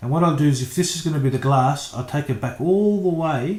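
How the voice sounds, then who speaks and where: A man speaks at a fairly quick pace with lively intonation. His voice is somewhat breathy. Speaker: architectural designer. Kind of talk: tutorial. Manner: casual, hesitant with fillers.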